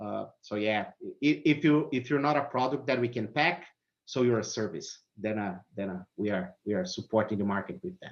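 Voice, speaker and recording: With a Brazilian accent, a man speaks at a moderate pace and medium pitch, his intonation lively. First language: Portuguese. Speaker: automotive technical services manager. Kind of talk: interview.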